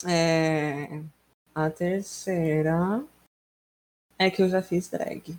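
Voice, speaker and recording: The delivery is very slow. Long, frequent pauses break it up. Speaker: podcast co-host. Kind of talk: casual chat. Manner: animated.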